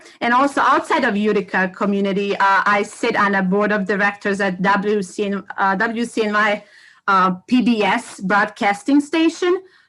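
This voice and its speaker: In a Bosnian accent, a woman with a medium-pitched, bright, sharp tone speaks at a moderate pace with ordinary pitch variation. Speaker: educator and community organization co-founder. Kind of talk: self-introduction on a livestream panel. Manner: halting, many fillers.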